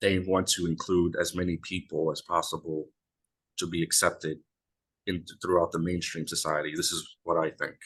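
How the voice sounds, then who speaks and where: The background stays quiet while a man speaks at a moderate pace. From United States. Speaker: YouTuber. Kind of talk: casual chat.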